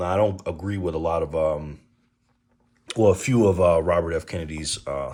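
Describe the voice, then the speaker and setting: A man with an American accent, very deep and low in pitch, at a moderate pace with long, frequent pauses and fairly even intonation. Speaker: political commentary vlogger. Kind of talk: casual monologue vlog. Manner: halting, many fillers.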